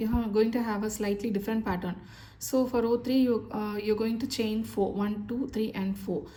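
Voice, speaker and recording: Somewhat breathy, a woman speaks at a fairly high pitch with fairly even intonation. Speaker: crochet instructor. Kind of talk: tutorial. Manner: slow.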